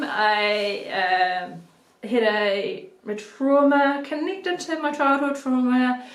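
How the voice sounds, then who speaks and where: With lively intonation, a woman speaks in a New Zealand accent. Room echo is audible. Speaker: video blogger on mental health. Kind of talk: personal vlog monologue. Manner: halting, many ums.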